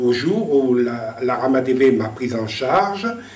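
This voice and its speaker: A man's very slow speech with lively intonation, noticeable background noise, and audible room echo. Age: 60s. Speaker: retired civil servant, visually impaired. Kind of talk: testimony. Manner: halting, repeats words.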